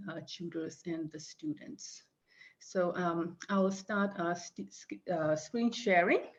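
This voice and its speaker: With a non-native accent, a woman speaks at a very slow pace with fairly even intonation. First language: not English. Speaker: reference librarian. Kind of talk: conference presentation. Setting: video call. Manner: halting, many fillers.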